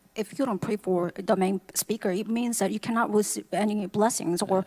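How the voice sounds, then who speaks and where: A woman with a plain, everyday voice speaks at a medium pitch and a fairly slow pace, her intonation fairly even, in a dry, close sound with no echo. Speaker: English interpreter. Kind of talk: consecutive interpreting of sermon.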